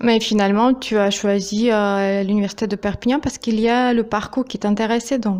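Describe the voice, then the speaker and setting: Hardly pausing, a woman with a fairly high pitch talks at a moderate pace in a monotone, flat intonation. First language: Russian (speaking French). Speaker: YouTuber, interviewer. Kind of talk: interview. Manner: hesitant, many fillers.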